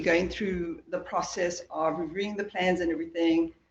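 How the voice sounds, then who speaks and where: The speaker has a South African accent and talks at a moderate pace. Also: woman. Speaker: transportation project engineer. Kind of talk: project presentation at town board meeting.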